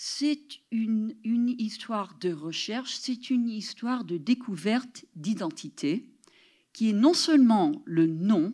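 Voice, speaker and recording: Over a silent background in a very clean recording, a woman with a fairly high pitch speaks very slowly, her tone dark and mellow and somewhat breathy. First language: English (speaking French). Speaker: professor. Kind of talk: lecture. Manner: halting.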